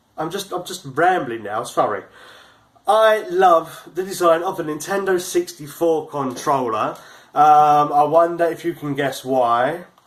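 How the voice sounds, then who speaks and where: At a fairly slow pace, a man talks in a fairly high pitch with ordinary pitch variation. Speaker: YouTuber reviewing video game gear. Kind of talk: unboxing video. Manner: halting, with stumbles and repeated words.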